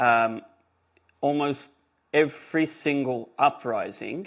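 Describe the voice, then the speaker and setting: This man has an Australian accent. His intonation stays fairly even. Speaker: podcast host. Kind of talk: casual chat.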